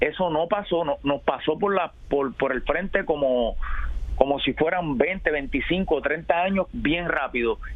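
Very slow speech with ordinary pitch variation comes through over noticeable background noise. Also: man, fairly high pitch for a man. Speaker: baseball historian. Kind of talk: radio interview. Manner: halting, repeats words.

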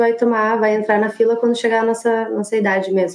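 Noticeable background noise is present. Over it, a woman talks at a fairly high pitch with fairly even intonation. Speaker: architect living abroad. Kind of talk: casual interview.

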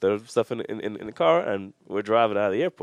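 The speaker is a man. He has an American accent. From New York. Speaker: professional wrestler. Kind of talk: casual chat.

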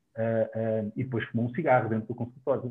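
A man's medium-pitched voice, a plain, everyday voice. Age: 40s. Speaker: dentist. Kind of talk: online panel discussion.

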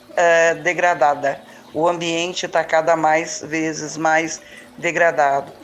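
Over music in the background, a woman speaks at a very slow pace with monotone, flat intonation. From Belo Horizonte, Brazil. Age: 60s. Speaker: local resident and community activist. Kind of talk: testimony. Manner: halting, many fillers.

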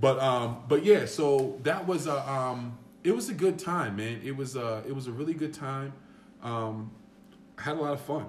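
In a room with audible echo, a man with a fairly high pitch speaks at a moderate pace, his voice somewhat breathy. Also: ordinary pitch variation. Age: 30s. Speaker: former basketball player. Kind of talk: casual chat.

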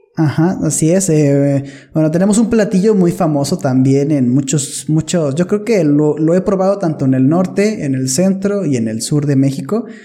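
A man talks fairly slowly, his loudness very even. His pitch is fairly high, his intonation lively, his tone dark and mellow. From northern Mexico. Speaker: podcast guest. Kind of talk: casual chat.

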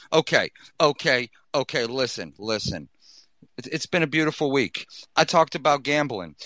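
With an animated tone and lively intonation, a man speaks in a fairly high, bright and sharp voice with vocal fry, leaving long, frequent pauses in a dry, close sound with no echo. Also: moderate pace, very clean recording, silent background. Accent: Boston. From US Northeast, Boston. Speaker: podcast host. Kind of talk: casual chat. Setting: gaming headset.

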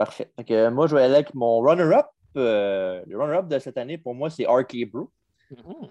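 The tone is dark and mellow, with lively intonation and big swings in loudness at a moderate pace. The sound is dry and close with no echo. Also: man, medium pitch for a man. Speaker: wrestling podcast host. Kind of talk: casual chat.

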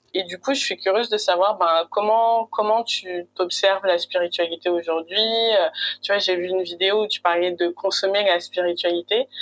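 A woman speaks in a normal speaking voice at medium pitch and a moderate pace, her intonation fairly even, in a dry, close recording with no echo. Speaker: podcast host. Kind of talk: interview. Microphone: poor sound quality, host hard to hear.

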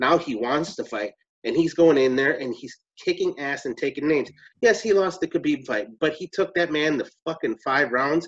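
Fairly quick and fairly high in pitch, a man speaks in an unremarkable speaking voice with lively intonation. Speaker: MMA podcast panelist. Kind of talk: casual chat.

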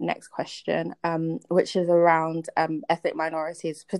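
At a fairly slow pace, a woman speaks in a fairly low pitch with a plain, everyday voice. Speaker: podcast host. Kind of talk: casual interview.

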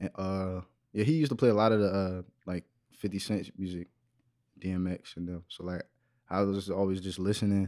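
Here a man with a fairly low pitch speaks at a fairly quick pace with fairly even intonation. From Waldorf, Maryland (DC area). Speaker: rapper and singer. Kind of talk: casual chat.

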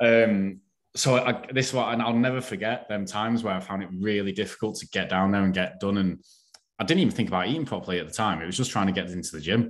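Recorded very cleanly over a silent background, a man with a northern English accent speaks at a very fast pace. His pitch is fairly low, with ordinary variation. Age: 40s. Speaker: online fitness coach. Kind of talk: casual chat.

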